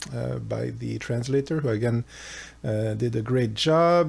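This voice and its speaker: This man speaks with a French accent. His pitch varies in an ordinary way. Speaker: philosophy educator. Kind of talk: casual lecture. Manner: halting, many fillers.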